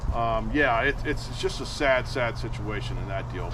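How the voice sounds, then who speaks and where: A man's voice over noticeable background noise. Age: 60s. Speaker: tournament bass angler and podcast host. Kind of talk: casual interview chat. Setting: outdoors at a lake.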